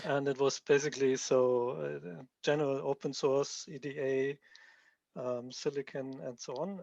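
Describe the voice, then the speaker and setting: A man speaks at a fairly slow pace with a strong German accent and a fairly high pitch. His intonation stays fairly even against a quiet background, with a dry, close sound and no echo. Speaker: software developer presenting his tool. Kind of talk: technical presentation.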